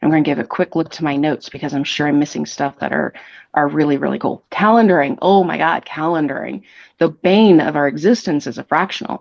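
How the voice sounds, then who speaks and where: The delivery is animated and very fast, with vocal fry. Pitch variation is ordinary. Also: woman, very deep, low pitch for a woman. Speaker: fractional marketing executive. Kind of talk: podcast interview.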